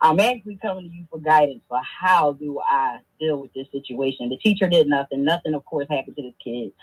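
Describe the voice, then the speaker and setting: With an American accent, the voice has a dry, close sound with no echo. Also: woman. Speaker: caller. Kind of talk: phone-in call. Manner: fast.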